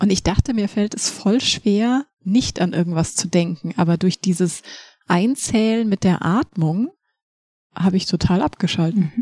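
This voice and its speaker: A dark, mellow, somewhat breathy tone at a fairly slow pace, dry and close with no echo. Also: woman, medium pitch for a woman, ordinary pitch variation. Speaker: podcast host.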